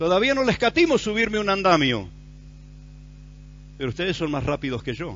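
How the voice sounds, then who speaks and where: With very wide pitch swings, a man speaks high and at a fairly quick pace, broken by long, frequent pauses. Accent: Rioplatense. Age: 60s. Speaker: pastor. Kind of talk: sermon.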